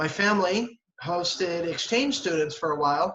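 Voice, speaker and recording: A man speaks in a high pitch with a Philadelphia accent. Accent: Philadelphia-area American English. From southern New Jersey. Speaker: English teacher. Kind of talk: casual interview. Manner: halting, many fillers and repetitions.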